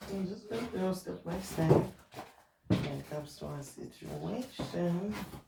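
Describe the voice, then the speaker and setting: Someone speaks at a fairly slow pace with noticeable background noise. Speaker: tarot reader. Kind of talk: psychic tarot reading.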